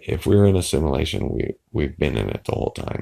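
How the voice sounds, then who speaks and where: A man with a very deep, low pitch and vocal fry swings his pitch very widely. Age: old. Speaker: YouTuber discussing conspiracy theories. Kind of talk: casual vlog monologue. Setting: apartment, early morning. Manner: halting, many fillers.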